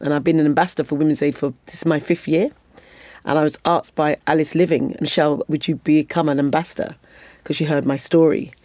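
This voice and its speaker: With a British accent, a woman speaks at a very deep, low pitch and a fairly quick pace. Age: 50s. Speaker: former Olympic athlete and advocate. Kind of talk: podcast interview.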